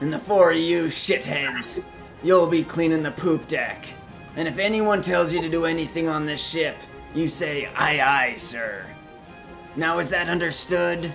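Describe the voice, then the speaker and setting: A man puts on a character voice, pitched high, speaking at a moderate pace with clear music playing behind him. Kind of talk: hammy pirate talk. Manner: gruff, bullying, barking orders.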